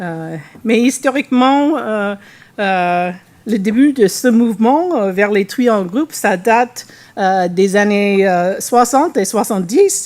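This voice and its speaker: A woman speaks with a non-native accent at a fairly high pitch. Her pace is very slow and her intonation lively. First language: English (speaking French). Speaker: animal welfare researcher. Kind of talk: conference presentation. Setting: workshop with audience. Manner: halting, many hesitations and restarts.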